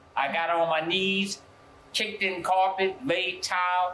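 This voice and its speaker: Here a man speaks with a New Orleans accent. His high-pitched voice has a bright, sharp tone. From US South, New Orleans. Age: 70s. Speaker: pastor. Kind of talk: interview testimony. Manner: halting, with frequent fillers and repeats.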